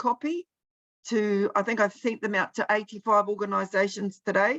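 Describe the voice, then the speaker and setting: A woman with a New Zealand accent, bright and sharp in tone, in a dry, close sound with no echo. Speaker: presenter at policy briefing. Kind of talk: online briefing presentation. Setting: video call.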